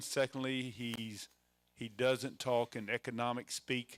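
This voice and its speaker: In a Mississippi accent, a man speaks at a medium pitch with fairly even intonation, in a dry, close sound with no echo. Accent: Southern US (Mississippi). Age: 60s. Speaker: event emcee. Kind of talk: event introduction. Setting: room with live audience. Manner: halting, many fillers.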